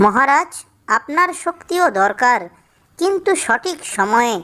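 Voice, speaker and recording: A woman's cartoonish character voice, high-pitched, fairly slow, with very wide pitch swings. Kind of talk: children's cartoon. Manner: respectful, polite.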